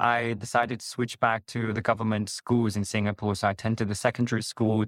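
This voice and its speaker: A man with a Chinese accent speaks at a fairly low pitch. His intonation is monotone and flat. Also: dry, close sound with no echo. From China, Chengdu (Sichuan). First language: Mandarin Chinese. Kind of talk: interview. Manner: halting, frequent repetitions and fillers.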